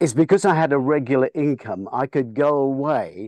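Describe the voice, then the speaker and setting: Speaking at a moderate pace in an ordinary speaking voice, a man with fairly high pitch and ordinary pitch variation is heard over a quiet background, the sound dry and close with no echo. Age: 60s. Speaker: film industry veteran and director. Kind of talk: interview.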